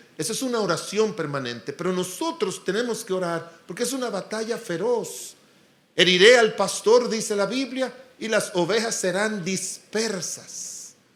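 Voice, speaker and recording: Here a man speaks with a high pitch and ordinary pitch variation, at a fairly slow pace. Audible room echo surrounds the voice. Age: 60s. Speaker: pastor. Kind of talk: sermon.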